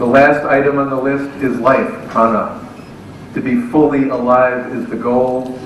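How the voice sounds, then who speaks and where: Amid noticeable background noise and audible room echo, a man speaks fairly slowly at medium pitch with monotone, flat intonation. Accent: American. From United States. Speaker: professor. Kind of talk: speech. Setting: stage with audience.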